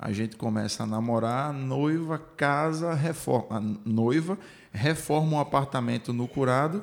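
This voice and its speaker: In a normal speaking voice, a man talks at a fairly slow pace with medium pitch and ordinary pitch variation. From Recife, Brazil. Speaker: podcast host. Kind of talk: casual interview chat.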